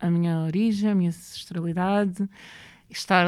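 Speaking at a moderate pace, a woman uses a medium-pitched voice. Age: 30s. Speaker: writer and poet. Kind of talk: interview conversation.

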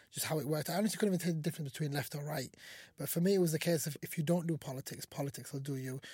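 A man's fairly high voice with ordinary pitch variation, on a very clean recording with a silent background. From Somalia. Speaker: mayor. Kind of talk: interview. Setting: community radio station. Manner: casual.

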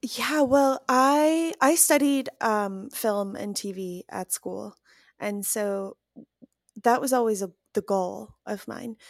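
In a Chicago accent, a woman speaks at a very slow pace with a fairly high pitch and lively intonation. The sound is dry and close with no echo, on a very clean recording with a silent background. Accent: Chicago American English. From US Midwest, Chicago. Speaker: scheduling assistant, former English teacher. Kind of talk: casual chat.

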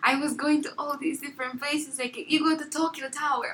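Raising and projecting her voice, a woman talks at a fairly quick pace in a high pitch with monotone, flat intonation. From southern Angola. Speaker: college student. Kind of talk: casual interview.

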